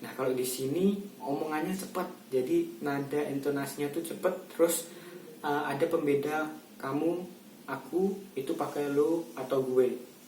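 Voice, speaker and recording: With audible room echo and noticeable background noise, a man talks at a fairly slow pace in a fairly high voice with ordinary pitch variation. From South Sumatra (Javanese transmigrant area, then Palembang). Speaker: university student. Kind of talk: personal testimony for a class quiz.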